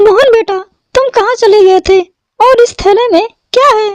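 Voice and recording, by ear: In a dry, close sound with no echo, a woman does a cartoonish character voice at an extremely high pitch, with fairly even intonation and a moderate pace.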